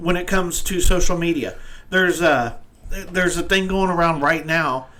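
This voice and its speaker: Audible echo fills the room as a man talks. His voice is high, and his intonation is fairly even. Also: moderate pace. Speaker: live stream show host. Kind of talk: casual chat. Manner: halting, stumbles over words.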